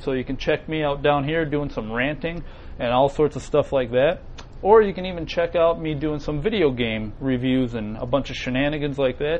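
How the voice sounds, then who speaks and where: A man speaks in an ordinary speaking voice, pitched fairly high. He moves at a fairly quick pace with ordinary pitch variation. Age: 30s. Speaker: web show co-host. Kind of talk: casual chat.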